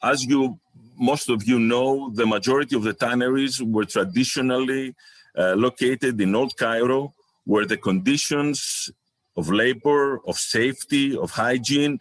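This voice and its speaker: A man with a Greek accent speaks at very even loudness with ordinary pitch variation, the sound dry and close with no echo. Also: medium pitch for a man, fairly slow pace. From Greece. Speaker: researcher and chemical company owner. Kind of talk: conference presentation. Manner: halting.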